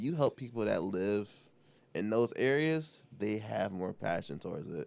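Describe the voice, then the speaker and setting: A man with an American accent, fairly low in pitch, with a relaxed tone. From Detroit East Side, US. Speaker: mechanical engineer, guest. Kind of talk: casual interview chat. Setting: studio. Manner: relaxed, laughs.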